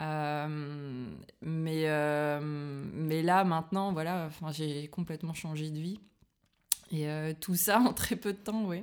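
Very slowly and with long, frequent pauses, a woman speaks at a very deep, low pitch with ordinary pitch variation. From northern France, Liévin near Lens. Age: 30s. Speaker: sophrologist. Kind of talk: casual interview. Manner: hesitant, many fillers.

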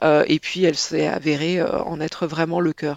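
A woman is speaking. Her pace is moderate. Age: 40s. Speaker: literature professor. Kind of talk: interview. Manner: halting.

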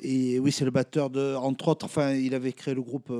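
Here a man talks at a medium pitch. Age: 40s. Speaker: jazz accordionist. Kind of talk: casual chat. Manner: halting.

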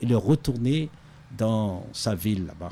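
In a dark, mellow tone, a man speaks at a very slow pace with a medium pitch. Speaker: pastor. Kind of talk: radio interview. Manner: halting.

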